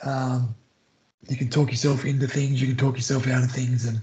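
Medium-pitched man with an Australian accent and fairly even intonation. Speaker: former rugby league player, maths teacher. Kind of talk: casual interview chat. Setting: remote call.

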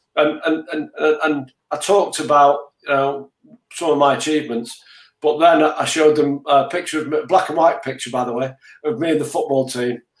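A man speaks at a moderate pace with a Mancunian accent. His pitch is fairly high, and his intonation stays fairly even. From Manchester, England. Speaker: business leader. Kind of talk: interview. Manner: repetitive stammering starts.

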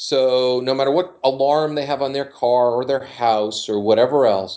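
This man has a normal speaking voice, medium in pitch with ordinary variation, and he talks at a fairly slow pace. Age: 50s. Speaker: dating coach. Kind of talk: casual chat.

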